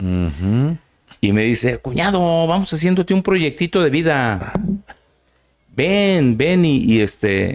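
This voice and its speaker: Over a quiet background, a man speaks at a very slow pace with long, frequent pauses, very wide pitch swings and very even loudness. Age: 60s. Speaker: son of a famous musician; interview guest. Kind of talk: interview. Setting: studio. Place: studio. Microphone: studio mic.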